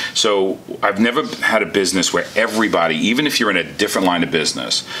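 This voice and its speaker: At a very fast pace and with very even loudness, a man talks in a New Jersey accent against noticeable background noise. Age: 50s. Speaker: entrepreneur. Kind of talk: interview. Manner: animated.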